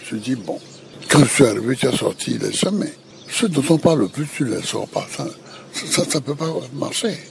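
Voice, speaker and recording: With noticeable background noise behind him, a man talks at a moderate pace in a fairly high pitch, his intonation lively and his pauses long and frequent. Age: 80s+. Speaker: former president. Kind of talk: interview answer. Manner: hesitant, halting.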